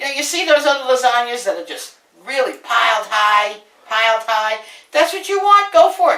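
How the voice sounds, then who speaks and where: With an American accent, a woman in a raised, projected, high voice speaks at a moderate pace in an animated tone, her pitch swinging very widely and her loudness shifting a lot. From Brooklyn, New York. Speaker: home cook, cooking show host. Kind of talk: cooking tutorial.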